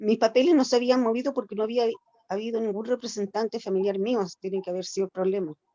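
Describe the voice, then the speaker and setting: At a very fast pace, a woman talks in a fairly high pitch, the sound dry and close with no echo. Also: ordinary pitch variation. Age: 60s. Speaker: older adult participant in self-care group. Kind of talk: group discussion, personal account. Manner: halting.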